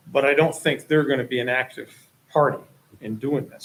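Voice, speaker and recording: A somewhat breathy voice runs along at a fairly quick pace. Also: man. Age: 60s. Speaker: property owner applicant. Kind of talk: public meeting testimony. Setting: town planning board meeting.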